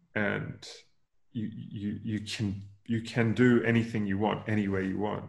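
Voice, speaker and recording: With an Australian accent, a man speaks fairly slowly in a fairly low, monotone, flat voice, with audible room echo. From Queensland, Australia (rural, near Noosa). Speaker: venture capital investor and former startup founder. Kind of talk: interview conversation.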